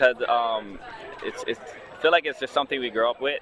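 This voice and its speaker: Crowd noise fills the background as a man talks with a Hawaiian accent. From Hawaii, Big Island. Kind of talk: interview answer.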